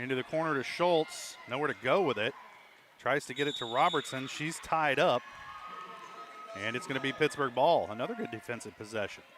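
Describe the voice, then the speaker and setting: Over noticeable background noise, a man with a fairly high pitch speaks at a fairly quick pace, his intonation lively and broken by long, frequent pauses. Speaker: play-by-play announcer. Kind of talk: live commentary. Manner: fast.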